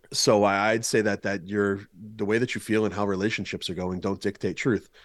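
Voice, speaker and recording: Over a quiet background, a man with an American accent speaks fairly quickly in a fairly low, flat monotone. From Boston. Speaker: pastor, speaker and former lawyer. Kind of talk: casual interview.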